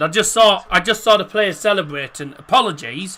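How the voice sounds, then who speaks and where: A man's raised, projected voice. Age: 20s. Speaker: football streamer, match watchalong host. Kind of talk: live watchalong commentary and chat reading. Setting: live stream. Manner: casual, animated.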